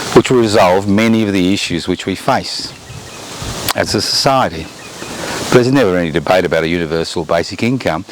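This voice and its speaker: Against noticeable background noise, a man with a very deep, low pitch speaks fairly quickly in an Australian accent. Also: ordinary pitch variation. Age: 70s. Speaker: political commentator. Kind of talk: monologue commentary.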